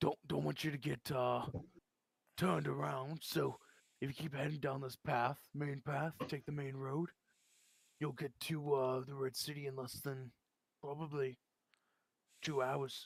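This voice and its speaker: A man puts on a character voice at a medium pitch with fairly even intonation. He leaves long, frequent pauses. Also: moderate pace. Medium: actual play.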